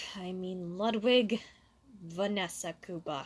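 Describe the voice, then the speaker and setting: A rumbling, put-on character voice at a fairly slow pace with ordinary pitch variation. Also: woman, medium pitch for a woman. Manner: grumbly, embarrassed.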